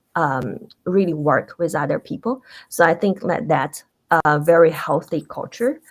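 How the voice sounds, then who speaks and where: A woman speaks with a non-native accent at a fairly low pitch. Her pace is moderate. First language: not English. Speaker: tech industry panelist. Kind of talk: panel discussion.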